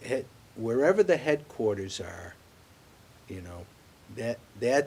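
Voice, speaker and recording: A somewhat breathy man with an American accent, very wide pitch swings, and a fairly slow pace. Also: medium pitch for a man. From Worcester, Massachusetts. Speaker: bank executive. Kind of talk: interview.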